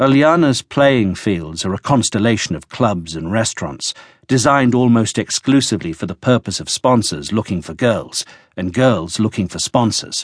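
Against a quiet background, a man with a medium-pitched voice takes a dramatic tone. His intonation is lively, and the sound is dry and close with no echo. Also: moderate pace. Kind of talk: audiobook narration, dramatic and scripted. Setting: studio. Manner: dramatic, wry and knowing, with arch ironic edge; measured, storytelling pace, shifts into quoted voices.

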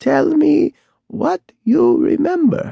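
A man puts on a character voice at an extremely high pitch, creaky in texture. The sound is dry and close, with no echo.

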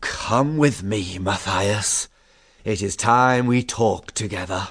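A man puts on a raspy character voice, pitched fairly low. He speaks at a fairly slow pace against a quiet background. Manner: kindly, gentle, fatherly.

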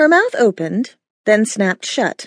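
The background stays quiet while an unforced reading voice is heard.

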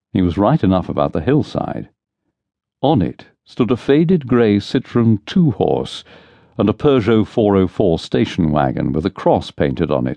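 A man with a fairly low pitch and vocal fry speaks at a moderate pace in an animated tone, his pitch swinging very widely. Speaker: audiobook narrator. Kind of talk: dramatic audiobook narration with character voices, unabridged thriller reading. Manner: animated, shifts between brisk narration and wry, bantering character voices.

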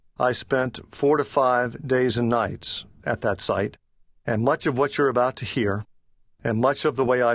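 A man talks at a fairly slow pace with a medium pitch and ordinary pitch variation. It is a normal speaking voice over a quiet background. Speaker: author and leadership consultant, former priest. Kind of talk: scripted audiobook narration read by the author, business/self-help. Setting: studio. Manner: measured, warm, earnest.

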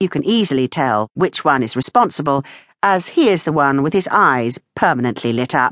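Speaking at a moderate pace with a warm, playful tone, a woman swings her pitch very widely, recorded dry and close with no echo against a quiet background. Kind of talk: audiobook narration, reading a memoir aloud. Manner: wry, dryly humorous, playful; warm, expressive, storyteller pacing with character voices.

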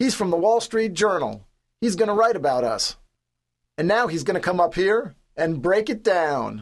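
Bellowing in a put-on character voice, a man pitches high and makes big pitch swings. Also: moderate pace.

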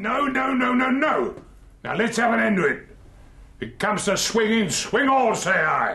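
This is a put-on character voice at a fairly slow pace. An echo is audible. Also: man, extremely high pitch for a man. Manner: bullying, blustering, roaring.

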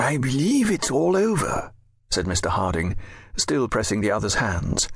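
The man's voice is somewhat breathy. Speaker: audiobook narrator. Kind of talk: scripted audiobook narration of a Victorian novel.

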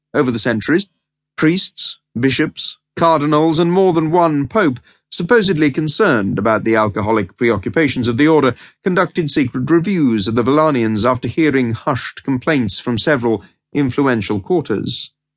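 A man with a normal speaking voice, fairly high in pitch, at a moderate pace with lively intonation and very even loudness, dry, close sound with no echo, quiet background. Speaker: audiobook narrator. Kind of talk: dramatic audiobook narration, scripted prose read aloud. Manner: measured, storytelling pace, arch and knowing, tongue-in-cheek tone.

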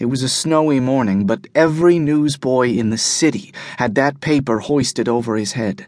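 Against a quiet background, a man with an unremarkable speaking voice talks at a moderate pace with hardly any pauses, his pitch medium with ordinary variation. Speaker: audiobook narrator. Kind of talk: dramatic first-person audiobook narration, hard-boiled noir.

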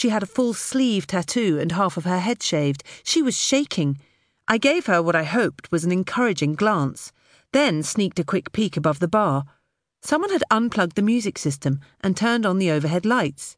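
In a British accent, a woman talks at a medium pitch and a moderate pace, her tone animated yet calm, against a quiet background. Her pitch swings very widely while her loudness stays very even. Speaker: audiobook narrator. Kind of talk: dramatic audiobook narration, first-person thriller scene. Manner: tense, hushed suspense with a calm, soft menacing voice for the robber; animated, shifts between narrator and character voices.

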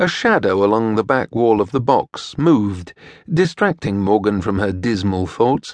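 In a plain, everyday voice, a man talks at a fairly low pitch with lively intonation and a moderate pace. The background is quiet. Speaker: audiobook narrator. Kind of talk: dramatic audiobook narration of a historical romance. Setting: studio.

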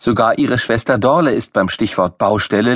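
With lively intonation, a passage is read aloud in a natural voice.

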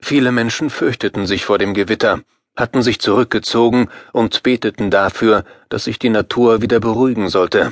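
A man with an unremarkable speaking voice talks at a moderate pace and medium pitch, with fairly even intonation, a dry, close sound with no echo and a quiet background. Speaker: audiobook narrator. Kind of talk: dramatic scripted narration, audiobook horror story. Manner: suspenseful, vivid, building tension.

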